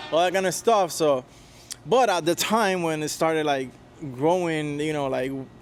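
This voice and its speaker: Over music in the background, a man with a Spanish accent speaks at a moderate pace, with a fairly high pitch and ordinary pitch variation. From Puerto Rico. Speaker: touring guitarist. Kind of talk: interview. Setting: on camera, in Tampa. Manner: halting, many fillers and repetitions.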